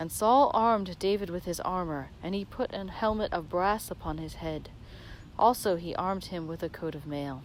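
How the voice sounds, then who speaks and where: In a normal speaking voice, a woman talks at a moderate pace with a fairly low pitch and ordinary pitch variation. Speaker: reader of scripture. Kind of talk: dramatic scripture reading. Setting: outdoors, while walking. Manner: meditative, measured.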